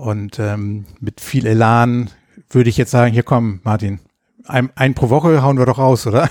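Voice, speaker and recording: In a plain, everyday voice, a man speaks at a fairly slow pace and medium pitch with fairly even intonation, on a very clean recording with a silent background and a dry, close sound with no echo. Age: 40s. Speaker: podcast host, square dance caller. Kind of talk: casual chat.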